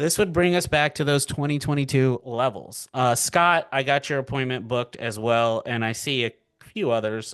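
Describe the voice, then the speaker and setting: A man with an ordinary speaking voice at medium pitch, ordinary pitch variation and a quiet background. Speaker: financial markets educator. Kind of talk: live webinar presentation. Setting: webinar from home. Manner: casual, filler-heavy.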